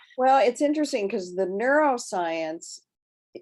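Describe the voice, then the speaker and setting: A woman with an American accent talks at a moderate pace. Her pitch swings very widely. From Nebraska, US Midwest. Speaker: bioenergetic therapist. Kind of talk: interview conversation.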